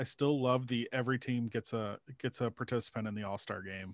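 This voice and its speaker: An unremarkable speaking voice from a man, ordinary pitch variation at a moderate pace, in a dry, close sound with no echo and a quiet background. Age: 40s. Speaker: sportswriter. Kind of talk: casual chat.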